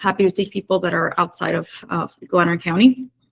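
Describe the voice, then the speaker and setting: A woman with a Canadian accent, medium pitch and moderate pace, an ordinary speaking voice. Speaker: climate program coordinator. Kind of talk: workshop presentation.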